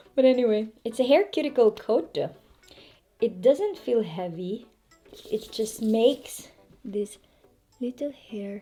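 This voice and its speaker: A woman with a French accent, fairly high pitch and lively intonation at a very slow pace, with music in the background. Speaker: hair care vlogger. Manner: casual, demonstrative.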